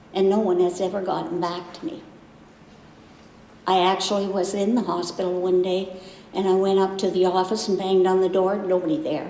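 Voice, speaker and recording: A woman at a medium pitch with fairly even intonation, a fairly quick pace and long, frequent pauses, amid noticeable background noise and audible room echo. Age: 70s. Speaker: patient. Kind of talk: testimony.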